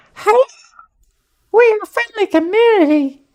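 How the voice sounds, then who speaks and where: In a put-on character voice, the speaker sounds squeaky and extremely high-pitched at a moderate pace. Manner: cutesy, cute.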